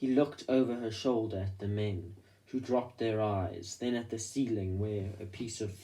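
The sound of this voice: The pitch moves in an ordinary way through an unforced reading voice.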